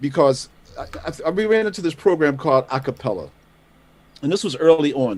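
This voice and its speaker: A man speaks in a fairly high register, his intonation lively and varied. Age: 60s. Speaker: jazz musician and producer. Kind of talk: award acceptance speech. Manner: halting.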